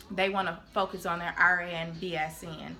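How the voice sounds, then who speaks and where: Music plays in the background while a woman talks at a medium pitch. Her intonation is monotone and flat. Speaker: nursing student vlogger. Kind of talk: informational vlog.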